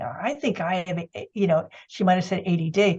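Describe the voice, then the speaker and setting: With an American accent, a woman talks at a moderate pace in a somewhat breathy, medium-pitched voice with ordinary pitch variation. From US Northeast. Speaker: ADHD coach and art therapist. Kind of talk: interview.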